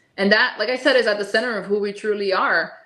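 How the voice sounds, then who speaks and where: A woman's voice carries audible room echo. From Miami, Florida. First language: Spanish. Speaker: holistic nutritionist. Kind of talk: interview.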